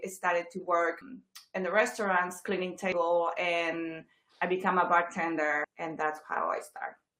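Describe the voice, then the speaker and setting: Bright, sharp tone from a woman speaking fairly slowly. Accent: Chilean. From Chile. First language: Spanish. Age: 40s. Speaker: real estate agent. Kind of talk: interview. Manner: hesitant, many fillers.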